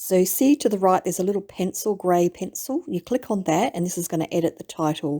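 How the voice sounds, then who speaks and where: A woman's dark, mellow voice at a fairly quick pace, lively in intonation, with hardly any pauses and a quiet background. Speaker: online reseller. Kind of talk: tutorial. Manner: hesitant, many fillers. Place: home room. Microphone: webcam.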